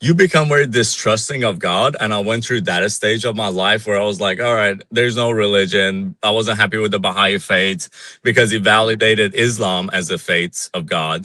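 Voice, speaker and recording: This man speaks at a moderate pace with a fairly low pitch. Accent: Iranian. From Iran. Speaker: Iranian dissident. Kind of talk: interview.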